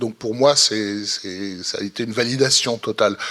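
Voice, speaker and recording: A man at medium pitch and moderate pace, monotone and flat, with noticeable background noise. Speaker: film critic. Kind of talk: panel discussion. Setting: stage with audience. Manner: halting, repetitive.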